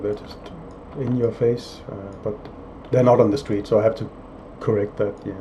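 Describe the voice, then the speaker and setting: A man's fairly even intonation amid noticeable background noise. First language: not English (third language or later). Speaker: indie game developer. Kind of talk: casual video log with viewer Q&A. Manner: hesitant, many fillers and repeats.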